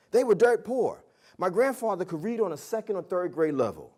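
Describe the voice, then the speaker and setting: A very fast-talking man with an American accent and a dark, mellow tone. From New Jersey, US. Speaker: public speaker. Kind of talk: motivational speech. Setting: stage with audience. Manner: animated.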